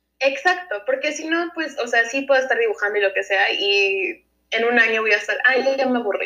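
A woman's raised, projected voice, high-pitched with a bright, sharp tone, at a fairly quick pace with hardly any pauses. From United States (raised from age 1.5 to 17), Mexican-born. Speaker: former film student, illustrator. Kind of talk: casual interview.

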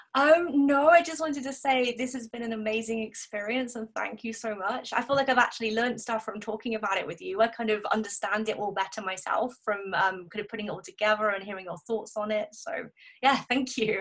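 A woman with a southern English accent speaks at a fairly quick pace with hardly any pauses, her fairly high pitch showing ordinary variation amid big swings in loudness. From southern England. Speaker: blogger and bookshop manager. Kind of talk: casual chat.

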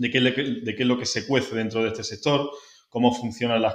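With an unremarkable speaking voice, a man talks at medium pitch with fairly even intonation. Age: 30s. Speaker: marketing director. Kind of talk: interview.

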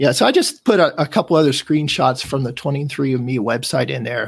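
This man has a fairly high pitch and vocal fry. He talks at a fairly quick pace with ordinary pitch variation. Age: 50s. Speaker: tech enthusiast guest. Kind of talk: casual chat presentation.

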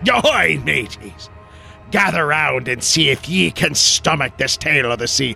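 A man uses a put-on character voice at a medium pitch. He talks at a moderate pace over clear music in the background. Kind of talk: theatrical, archaic sailor speech.

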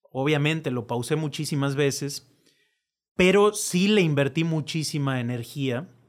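With a plain, everyday voice, a man talks at a fairly slow pace, his fairly high pitch showing ordinary pitch variation. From Mexico, born in La Rioja, Argentina. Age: 30s. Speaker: political staffer and writer. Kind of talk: casual chat.

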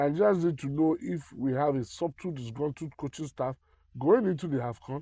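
Somewhat breathy and dark, mellow in tone, a man with a fairly high pitch and ordinary pitch variation talks at a moderate pace, the sound dry and close with no echo over a quiet background. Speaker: football podcast co-host. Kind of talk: casual chat.

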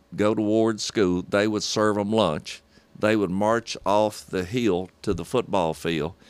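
In a Southern US accent, a man speaks very slowly at a fairly low pitch. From Hartsville, Tennessee. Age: 60s. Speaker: sports broadcaster.

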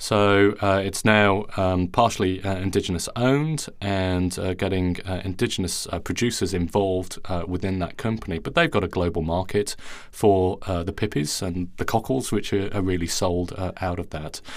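With a non-native accent, a man talks at a very deep, low pitch and a moderate pace, with fairly even intonation and hardly any pauses. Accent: non-Australian foreign. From outside Australia. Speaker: plant biology professor and podcast host. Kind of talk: interview conversation. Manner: hesitant, many fillers.

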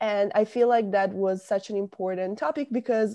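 A woman speaks with an Italian accent and ordinary pitch variation against a quiet background. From northern Italy, near Milan. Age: 20s. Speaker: university student. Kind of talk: interview.

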